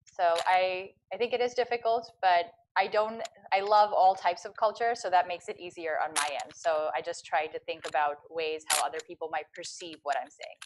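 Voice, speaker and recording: Medium-pitched female speech with an American accent, ordinary pitch variation and big swings in loudness. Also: moderate pace. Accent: American accent when speaking Dutch. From US. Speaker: vlogger. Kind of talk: panel Q&A. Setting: online live talk.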